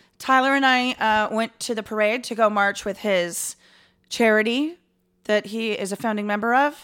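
Here is a woman with an American accent and an unremarkable speaking voice, at a moderate pace with fairly even intonation. The recording is very clean, with a silent background. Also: fairly high pitch for a woman. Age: 30s. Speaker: podcast co-host. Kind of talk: casual chat, comedic banter.

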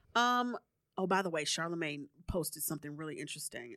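Very fast and lively in intonation, a bright, sharp voice comes through on a very clean recording with a silent background. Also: woman. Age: 30s. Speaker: podcast host. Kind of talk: casual chat. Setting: studio. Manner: animated.

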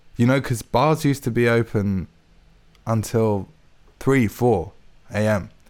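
A man with a London accent at a fairly slow pace, with long, frequent pauses, very even loudness and ordinary pitch variation, in a very clean recording with a silent background. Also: medium pitch for a man. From London and Hertfordshire, England. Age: 20s. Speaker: composer. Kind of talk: casual chat. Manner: halting.

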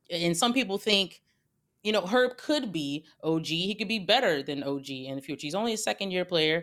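A woman speaks with an ordinary speaking voice at a fairly low pitch. Her pace is fairly quick and her intonation lively. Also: very clean recording, silent background. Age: 30s. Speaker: basketball analyst and podcast host. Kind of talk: casual chat.

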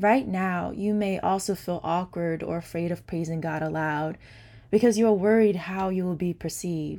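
A woman speaks at a moderate pace in an ordinary speaking voice with a fairly low pitch. Her intonation is fairly even, on a very clean recording with a silent background. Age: 20s. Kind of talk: testimony.

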